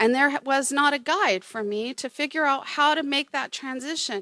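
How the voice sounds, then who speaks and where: Raised and projected, a woman's high-pitched voice has a bright, sharp tone, a moderate pace and ordinary pitch variation, in a very clean recording with a silent background. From Oklahoma. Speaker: museum curator. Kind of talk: panel presentation.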